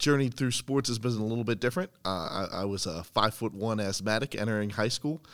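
Heard on a very clean recording with a silent background, a man with an American accent uses a normal speaking voice at a fairly low pitch, with ordinary pitch variation, a fairly quick pace and hardly any pauses. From central Pennsylvania. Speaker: university athletic communications director. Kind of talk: casual interview. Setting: indoors in campus athletic facility.

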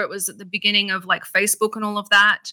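With an Australian accent, a woman talks at a very fast pace in a bright, sharp tone and a fairly high pitch, the sound dry and close with no echo on a very clean recording with a silent background. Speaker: actress and radio host. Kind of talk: casual interview chat.

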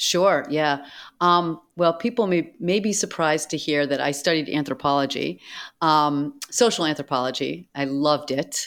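A woman with a very deep, low pitch talks at a moderate pace with ordinary pitch variation, on a very clean recording with a silent background. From Boston, US. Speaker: anthropologist and tech creative director. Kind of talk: casual interview chat.

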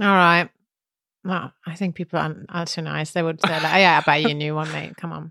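A woman's fairly low, bright and sharp voice with a German accent, monotone and flat, at a fairly quick pace, dry and close with no echo, on a very clean recording with a silent background. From Germany. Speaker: podcast co-host, language teacher. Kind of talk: casual chat.

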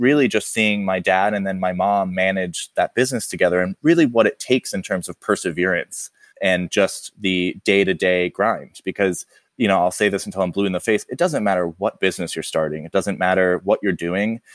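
A man with an unremarkable speaking voice talks at a fairly low pitch and fairly quick pace, with hardly any pauses. The recording is very clean with a silent background, and the sound is dry and close with no echo. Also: ordinary pitch variation. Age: 30s. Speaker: dinnerware brand co-founder. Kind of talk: interview conversation.

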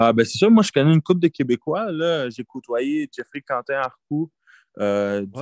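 A man with lively intonation at a moderate pace, dry and close with no echo, over a quiet background. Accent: Quebec. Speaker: college football player. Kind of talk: interview. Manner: halting.

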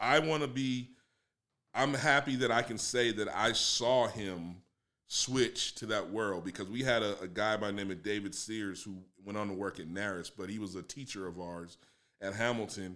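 A bright, sharp tone with ordinary pitch variation comes at a moderate pace in a very clean recording over a silent background. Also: man, fairly low pitch for a man. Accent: American. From Los Angeles, US. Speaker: music producer and drummer. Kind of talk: casual interview. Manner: relaxed, laughing.

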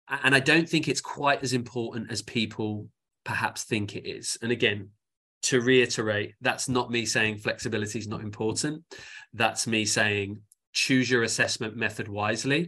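At a moderate pace, a man with an English accent speaks at a medium pitch in a bright, sharp tone, with fairly even intonation and a quiet background. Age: 40s. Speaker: sports science professor. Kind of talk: interview.

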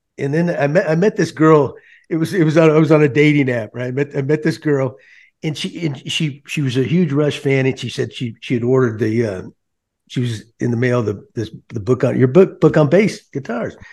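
An unremarkable speaking voice from a man with an American accent, fairly high-pitched, at a fairly quick pace against a quiet background. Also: ordinary pitch variation. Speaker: former baseball manager, podcast host. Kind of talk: casual chat.

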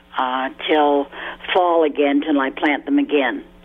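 A woman, heard against noticeable background noise, keeps a moderate pace and fairly even intonation. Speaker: caller. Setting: phone call.

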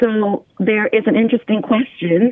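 A woman with an American accent talks at a moderate pace in a normal speaking voice, her pitch varying in an ordinary way. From US. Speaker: integrative medicine physician. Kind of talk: interview. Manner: formal.

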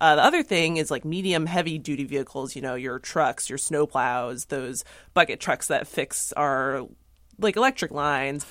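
A woman with a very deep, low voice speaks at a moderate pace. The recording is very clean, with a silent background. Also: ordinary pitch variation. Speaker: newspaper environment reporter. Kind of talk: news panel discussion. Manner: hesitant, filler-heavy.

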